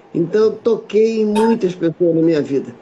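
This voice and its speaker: Moderate pace and ordinary pitch variation against noticeable background noise. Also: man. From Rio de Janeiro, Brazil. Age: 70s. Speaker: massage therapist and teacher. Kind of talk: casual conversation interview.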